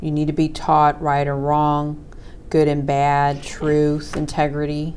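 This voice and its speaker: Audible room echo surrounds a woman's voice. She speaks with a very deep, low pitch at a very slow pace. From raised in a religious cult. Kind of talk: casual chat.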